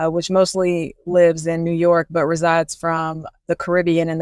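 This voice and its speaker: Recorded dry and close with no echo, a woman speaks in a fairly low pitch with a Southern US accent. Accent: Southern twang. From US South, Columbia, South Carolina. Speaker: faith-based life coach and podcast host. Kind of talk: podcast monologue, faith teaching. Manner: casual, conversational with fillers.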